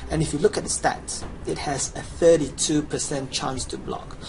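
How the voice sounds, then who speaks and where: A man speaking at a moderate pace is heard with audible room echo and noticeable background noise. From Chinese background. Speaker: gamer. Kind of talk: game tutorial, promotional pitch. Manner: animated.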